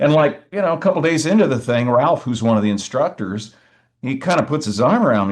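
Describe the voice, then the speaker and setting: Delivered at a very fast pace, the speech has an animated tone and very wide pitch swings. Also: man, quiet background. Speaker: blues singer-songwriter. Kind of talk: interview conversation.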